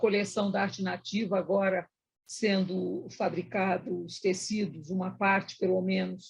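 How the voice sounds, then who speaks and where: This woman talks fairly slowly in a somewhat breathy voice. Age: 70s. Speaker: event host, executive director. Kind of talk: live panel moderation.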